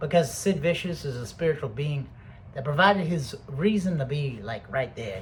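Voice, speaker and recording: A somewhat breathy man's voice, fairly high in pitch, with lively intonation and big swings in loudness. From Britain. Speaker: video blogger. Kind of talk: casual monologue. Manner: rambling, profane.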